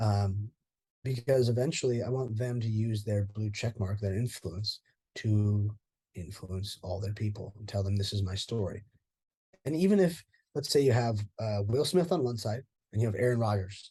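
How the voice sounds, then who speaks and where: Somewhat breathy and dark, mellow in tone, a man with an American accent speaks at a moderate pace and fairly low pitch, with ordinary pitch variation over a quiet background. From US West Coast, Orange County, California. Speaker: former mixed martial arts fighter. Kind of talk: interview. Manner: animated, informal with swearing.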